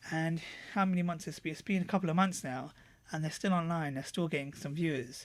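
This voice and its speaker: Mumbling at a very fast pace, a man speaks in a fairly high pitch with ordinary pitch variation, on a very clean recording with a silent background. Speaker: software reviewer. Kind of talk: screen-recorded tutorial review. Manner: mumbly; halting, many fillers.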